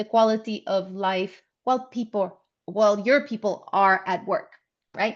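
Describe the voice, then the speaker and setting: The background is quiet as a woman talks at a fairly slow pace. She has a non-native accent. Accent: foreign accent in English. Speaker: workplace safety trainer. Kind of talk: webinar presentation. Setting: online webinar.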